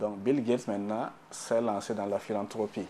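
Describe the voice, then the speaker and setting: A man with a Burkinabè accent speaks fairly quickly at a fairly low pitch in a dark, mellow tone. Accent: African (Burkinabè) French. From Burkina Faso. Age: 30s. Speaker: economist. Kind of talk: TV interview.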